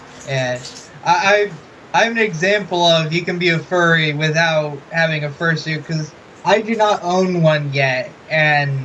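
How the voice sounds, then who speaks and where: Noticeable background noise sits behind a man with a high pitch. He talks at a fairly slow pace with ordinary pitch variation. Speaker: interviewer. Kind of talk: interview. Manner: mumbling.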